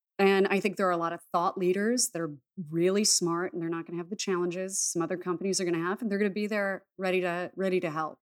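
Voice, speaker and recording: The recording is very clean with a silent background. A woman speaks very fast at medium pitch with fairly even intonation. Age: 30s. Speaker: shaman and intuitive healer. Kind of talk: casual chat.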